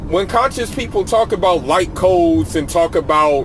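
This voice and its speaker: Against noticeable background noise, a man with a high pitch speaks fairly slowly with lively intonation. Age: 20s. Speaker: youtuber. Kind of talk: casual vlog monologue. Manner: casual, repetitive with restarts.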